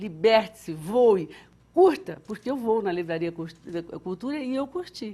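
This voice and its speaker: Somewhat breathy, a woman speaks in a fairly high pitch and a dark, mellow tone with very wide pitch swings. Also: fairly slow pace, big swings in loudness. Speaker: TV show host. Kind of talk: TV book recommendation segment. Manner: stuttering today; animated.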